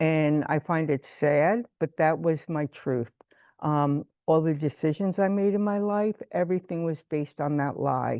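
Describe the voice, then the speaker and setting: Talking at a fairly slow pace, a woman with an American accent has a very deep, low pitch and ordinary pitch variation. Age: 60s. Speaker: twelve-step meeting speaker. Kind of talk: testimony. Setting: video call.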